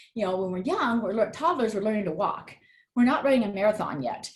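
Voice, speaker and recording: Somewhat breathy, a woman with fairly high pitch talks with lively intonation. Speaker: trauma therapist and life coach. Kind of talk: live virtual workshop talk. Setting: live video stream. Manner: hesitant, many fillers.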